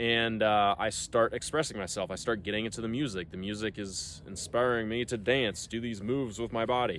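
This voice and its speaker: Speaking at a fairly quick pace, a man barely pauses. His pitch is medium with ordinary variation. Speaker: self-help vlogger. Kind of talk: casual monologue. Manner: fast; casual, many fillers.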